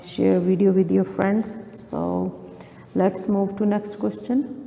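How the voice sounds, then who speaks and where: A woman's medium-pitched voice over noticeable background noise. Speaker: maths tutor. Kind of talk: tutorial. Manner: slow.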